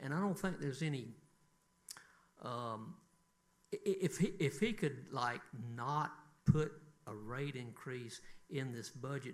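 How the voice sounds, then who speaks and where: The speaker talks in a Southern US accent at a fairly slow pace, with long, frequent pauses. Audible room echo surrounds the voice. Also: man, fairly high pitch for a man, lively intonation. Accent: Southern US (Georgia). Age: 60s. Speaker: city council member. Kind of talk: council meeting remarks.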